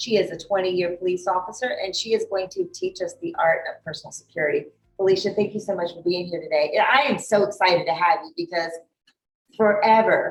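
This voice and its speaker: A woman's fairly quick, lively-toned speech with big swings in loudness, over music in the background. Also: medium pitch for a woman. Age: 50s. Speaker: talk show host. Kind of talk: casual interview. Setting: gym overlooking the bay.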